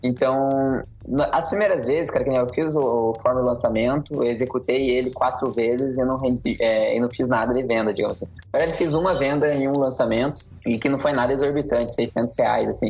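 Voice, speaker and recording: A man's medium-pitched voice at a moderate pace, with ordinary pitch variation, very even loudness and noticeable background noise. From Curitiba, Paraná, Brazil. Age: young. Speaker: digital marketing consultant and instructor. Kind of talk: podcast interview. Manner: casual.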